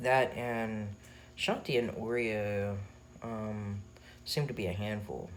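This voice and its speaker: Fairly low-pitched male speech with audible room echo. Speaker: vlogger. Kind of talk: personal vlog. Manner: halting, many fillers.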